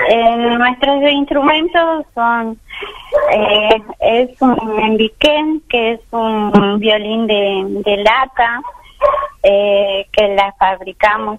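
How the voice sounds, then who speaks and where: A woman talks at a very slow pace with a fairly high pitch and ordinary pitch variation. Noticeable background noise sits behind her. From Argentina, Chaco. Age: 50s. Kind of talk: radio interview. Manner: halting.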